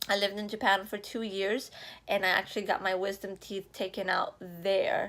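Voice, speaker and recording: A woman speaks with a slight Spanish accent. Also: very clean recording, silent background. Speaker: vlogger. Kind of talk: casual vlog. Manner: casual, filler-heavy.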